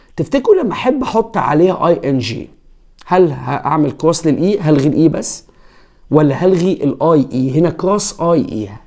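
This voice moves at a moderate pace with very wide pitch swings and vocal fry over a quiet background. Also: man, fairly high pitch for a man. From Egypt. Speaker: English teacher. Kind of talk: tutorial. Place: home room. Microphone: lapel.

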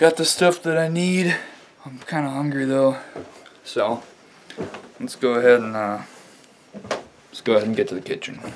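Over light background noise, a man speaks at a moderate pace with lively intonation. He leaves long, frequent pauses. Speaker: vlogger. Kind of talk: casual vlog chat. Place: kitchen. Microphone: phone near.

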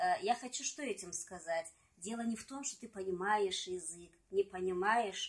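The pace is moderate, with ordinary pitch variation and big swings in loudness. The background is quiet. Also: woman. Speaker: singer and poet. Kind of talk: casual interview chat with poem reading. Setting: at home. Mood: calm, reflective. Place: home room. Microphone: phone near.

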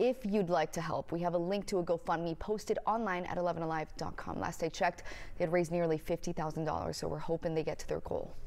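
With hardly any pauses, a woman with a fairly low pitch talks at a fairly quick pace with fairly even intonation in an ordinary speaking voice. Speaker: news anchor. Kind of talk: news reading. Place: studio. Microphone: lapel.

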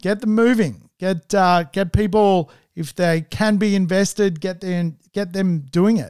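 With an Australian accent, a man talks in a high voice. The sound is dry with no echo, and the background is quiet. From Australia, Sydney Northern Beaches; New South Wales, Australia. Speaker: property investment podcast host. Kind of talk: solo podcast monologue. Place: studio. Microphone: studio mic.

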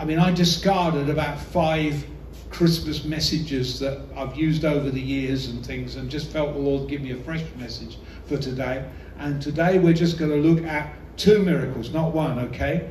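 A man talks with fairly even intonation over light background noise, with audible room echo. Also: moderate pace. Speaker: visiting preacher. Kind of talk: sermon. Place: hall.

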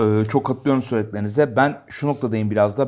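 Over a silent background in a very clean recording, a man speaks at a very fast pace. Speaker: football show host. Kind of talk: casual sports talk show. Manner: animated.

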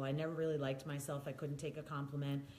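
The speaker is a woman, talking in an American accent. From US Northeast, New York or Philadelphia. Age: 50s. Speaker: wellness speaker living with MS. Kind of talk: casual chat. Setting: video recorded at host's home. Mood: candid, reflective. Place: home room.

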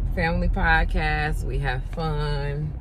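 A woman speaks over loud background noise. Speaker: vlogger. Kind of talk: casual vlog chat. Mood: upbeat, grateful. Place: car.

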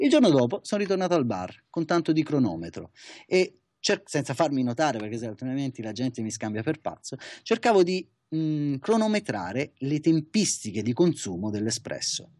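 Over a quiet background, a man with a fairly high pitch and a dark, mellow tone speaks at a moderate pace, his pitch swinging very widely. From Italy. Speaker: barista, coffee competitor. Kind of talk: interview. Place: office. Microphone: webcam.

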